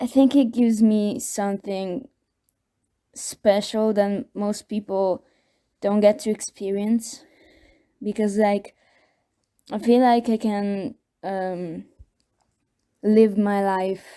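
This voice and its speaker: Over a silent background in a very clean recording, a woman with a non-native accent speaks at a very slow pace with long, frequent pauses, medium pitch, fairly even intonation, and a dark, mellow tone. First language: not English. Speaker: video contributor sharing personal experience. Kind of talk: personal testimony. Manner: halting, many fillers and repeats.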